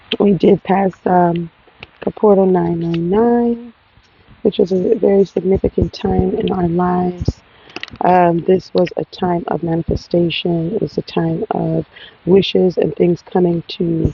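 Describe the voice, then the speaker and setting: A woman talks at a fairly slow pace with fairly low pitch. Her intonation is fairly even, and background noise is noticeable. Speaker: tarot reader. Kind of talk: spiritual collective reading. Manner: halting, many fillers.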